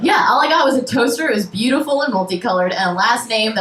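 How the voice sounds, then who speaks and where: A woman talks at a very fast pace with lively intonation amid noticeable background noise. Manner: innocent, trustworthy on the phone.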